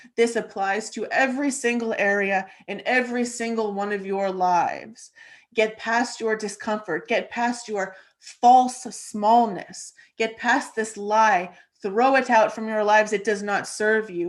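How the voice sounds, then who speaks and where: A woman puts on a booming character voice at a fairly high pitch. She speaks fairly slowly with fairly even intonation. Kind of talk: speaking as a channeled voice. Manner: grand, commanding.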